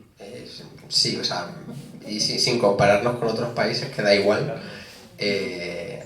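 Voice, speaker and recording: A man's fairly low voice amid noticeable background noise and audible room echo. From Spain, Las Hurdes (Extremadura). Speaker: author. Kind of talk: book presentation discussion.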